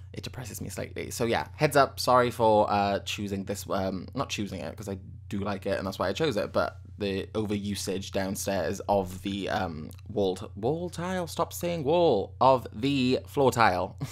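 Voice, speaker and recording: A man with a British accent, fairly low in pitch, with ordinary pitch variation and hardly any pauses. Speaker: gaming YouTuber. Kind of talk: gameplay commentary. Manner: fast; rambling, self-correcting.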